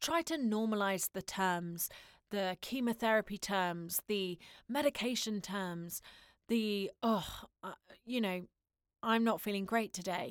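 A woman speaks at a fairly slow pace, with long, frequent pauses and ordinary pitch variation. The sound is dry and close with no echo, a very clean recording over a silent background. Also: medium pitch for a woman. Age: 20s. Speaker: podcast host, voiceover artist and actor. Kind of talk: solo podcast monologue.

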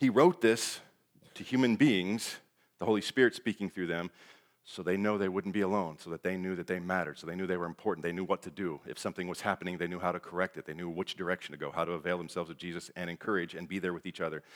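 A man's very fast, animated delivery in a very deep, low pitch, with big swings in loudness and a dry, close sound with no echo on a very clean, silent background. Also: ordinary pitch variation. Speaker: lay preacher. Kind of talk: sermon. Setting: church with congregation. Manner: fast when excited.

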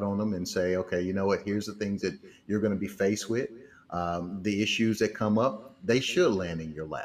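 A man's normal speaking voice at a fairly quick pace, fairly low in pitch, with ordinary pitch variation. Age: 50s. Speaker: financial mentor and speaker. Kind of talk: casual interview.

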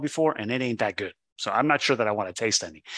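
A man talks at a very fast pace, medium in pitch with ordinary variation. His tone is bright and sharp over a quiet background. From Catalonia, Spain, moved to US at 7. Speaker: olive oil importer. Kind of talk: casual interview.

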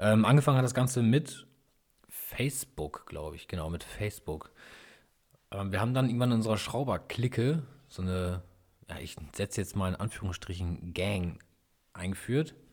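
In a very clean recording with a silent background, a man with a fairly low pitch speaks at a moderate pace with lively intonation, long, frequent pauses and big swings in loudness. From northern Germany, East Frisia area. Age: 30s. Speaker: YouTuber and car mechanic hobbyist. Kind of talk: casual solo podcast monologue.

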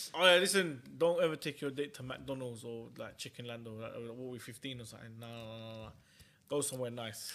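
Speaking with a London accent at a fairly quick pace, a man has a bright, sharp tone, ordinary pitch variation and big swings in loudness. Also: medium pitch for a man. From West London. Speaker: podcast co-host. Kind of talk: casual chat.

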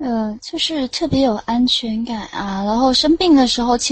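The pace is moderate. Pitch variation is ordinary. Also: woman. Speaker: caller on late-night voice chat show. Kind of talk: casual chat. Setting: online voice chat room.

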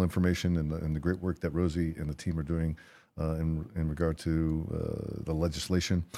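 A man speaks at a moderate pace in a very deep, low pitch with a dark, mellow tone. His intonation is monotone and flat, and the recording is very clean with a silent background. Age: 40s. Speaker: podcast host, veteran advocate. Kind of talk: casual chat.

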